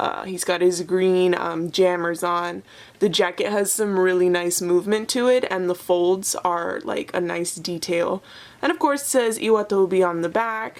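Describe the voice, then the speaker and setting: A woman talks at a moderate pace with medium pitch. It is a plain, everyday voice. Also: ordinary pitch variation. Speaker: toy collector vlogger. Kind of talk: unboxing review. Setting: sitting on floor at home. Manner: excited.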